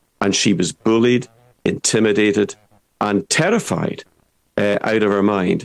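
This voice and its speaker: In a Scottish accent, a man speaks at a moderate pace with a fairly low pitch and ordinary pitch variation. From Scottish Highlands. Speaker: political commentator. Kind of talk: online show discussion. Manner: animated; halting, repeats words.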